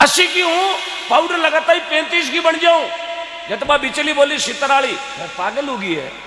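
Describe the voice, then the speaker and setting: Loud and projected, a man speaks with a Rajasthani accent in an animated tone at an extremely high pitch with ordinary variation. Audible room echo and noticeable background noise fill the recording. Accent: Rajasthani (Marwari) Hindi. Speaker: folk comedian and devotional speaker. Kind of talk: stage comedy storytelling with devotional appeal.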